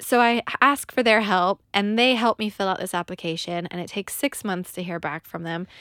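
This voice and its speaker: In a very clean recording with a silent background and a dry, close sound free of echo, a woman speaks at a medium pitch with ordinary pitch variation. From California. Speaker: podcast co-host. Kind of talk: casual chat. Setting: studio.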